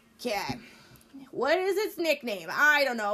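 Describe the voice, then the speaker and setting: Moderate pace, very wide pitch swings, and an American accent. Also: woman. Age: 30s. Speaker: podcast guest, safety equipment worker. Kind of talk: casual chat.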